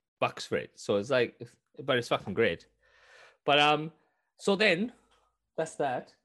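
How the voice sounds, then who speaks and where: At a fairly quick pace, a man with a fairly high pitch speaks in very wide pitch swings over a quiet background. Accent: Welsh. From Wales. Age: 30s. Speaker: gaming podcast co-host. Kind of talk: casual chat. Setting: video call.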